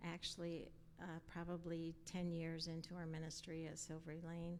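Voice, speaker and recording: This woman's voice sits at a fairly low pitch. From Colorado. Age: 70s. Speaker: pastor's wife. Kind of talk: interview. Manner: halting.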